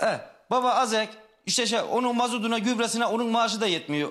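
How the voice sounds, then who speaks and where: A man with a high-pitched voice and a bright, sharp tone talks very fast against a quiet background. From Turkey, Tokat province; Turkey. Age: 30s. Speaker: construction worker, son of missing woman. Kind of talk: TV talk show testimony. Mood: earnest, slightly frustrated. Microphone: video call.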